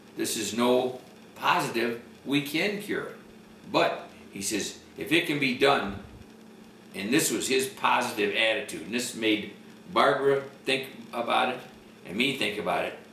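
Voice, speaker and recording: A man speaks at a moderate pace and a medium pitch, with lively intonation and long, frequent pauses. Noticeable background noise and audible room echo are present. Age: 70s. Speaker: cancer patient. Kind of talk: testimony. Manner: halting.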